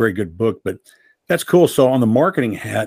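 An unremarkable speaking voice from a man, moderate in pace with ordinary pitch variation, on a very clean recording against a silent background. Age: 60s. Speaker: podcast host. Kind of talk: interview.

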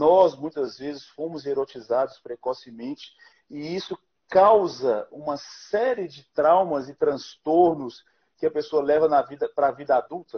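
This man has a normal speaking voice, fairly high in pitch with ordinary variation. He speaks at a fairly slow pace, his loudness swinging widely. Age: 30s. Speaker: pastor and live show host. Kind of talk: interview on live stream. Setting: Instagram live stream.

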